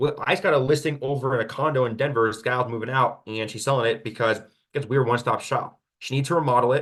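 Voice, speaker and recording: This man talks at a very fast pace and a medium pitch. His tone is animated. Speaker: real estate agent. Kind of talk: webinar Q&A presentation.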